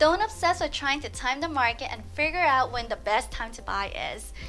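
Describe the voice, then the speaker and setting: With music in the background, a woman with an American accent talks at a moderate pace. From US West Coast, Los Angeles. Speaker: real estate agent. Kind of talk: scripted tutorial.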